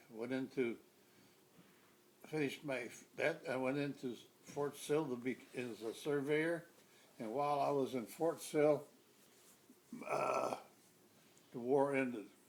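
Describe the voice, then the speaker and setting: A man speaks with an American accent at a fairly slow pace, with long, frequent pauses. His pitch is fairly high and his intonation fairly even. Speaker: army veteran. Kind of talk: interview answer.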